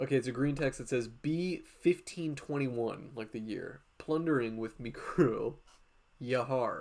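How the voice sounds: Simply a natural reading voice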